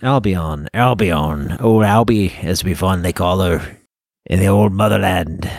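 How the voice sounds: A man puts on a raspy character voice with a very deep, low pitch. He goes at a fairly slow pace on a very clean recording with a silent background.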